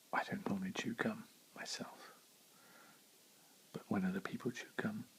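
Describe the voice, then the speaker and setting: Moderate-paced whispering from a man. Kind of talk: ASMR ramble while chewing gum. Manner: soft-spoken.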